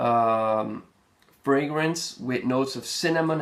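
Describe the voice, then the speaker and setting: A man of medium pitch speaks at a fairly slow pace with ordinary pitch variation. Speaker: fragrance reviewer. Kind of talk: product review. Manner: halting, many fillers.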